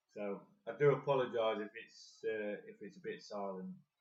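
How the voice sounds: A soft-spoken man at a fairly low pitch, with ordinary pitch variation and a moderate pace.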